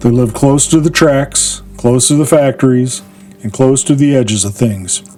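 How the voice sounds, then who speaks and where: Music plays in the background as a man speaks at a moderate pace. His voice is fairly high, with ordinary pitch variation. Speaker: podcast host. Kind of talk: dramatic history narration.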